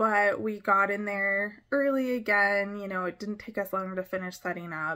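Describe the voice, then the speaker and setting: A woman talks with a bright, sharp tone and hardly any pauses. Her intonation is fairly even, and the background is quiet. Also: moderate pace. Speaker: small craft vendor. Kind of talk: casual vlog chat. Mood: relaxed, reflective, some laughs. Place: home room. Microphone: phone near.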